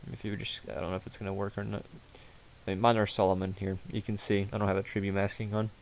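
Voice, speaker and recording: A man's fairly low voice at a very fast pace. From Ukraine. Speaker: gaming YouTuber. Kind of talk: casual gameplay commentary. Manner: casual with fillers and restarts.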